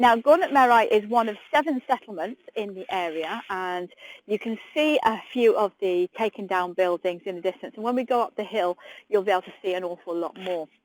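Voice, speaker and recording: A woman with an English accent talks at a fairly quick pace and medium pitch, her intonation lively and her loudness swinging widely, in a dry, close, very clean recording with a silent background and no echo. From UK. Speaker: tour guide. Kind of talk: live guided tour. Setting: outdoors, live stream walking tour. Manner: chatty, friendly.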